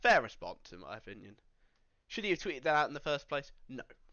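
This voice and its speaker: With a British accent, this speaker goes at a very fast pace. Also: man. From Britain. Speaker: streamer reacting to commentary drama. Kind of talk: live stream reaction commentary. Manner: casual.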